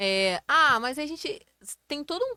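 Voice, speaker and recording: A woman speaks in a bright, sharp tone, with a dry, close sound and no echo. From Rio de Janeiro state interior, Brazil. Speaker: electrical engineer. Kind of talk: interview.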